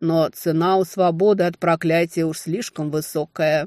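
A put-on character voice from a man, high in pitch, at a moderate pace.

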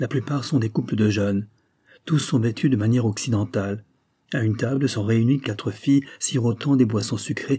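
With a quiet background, someone reads aloud in a natural voice, pitch shifting in an ordinary way.

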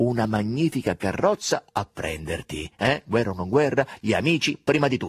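Plain reading aloud carries intonation that rises and falls with life.

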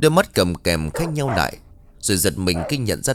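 The speaker does plain reading aloud.

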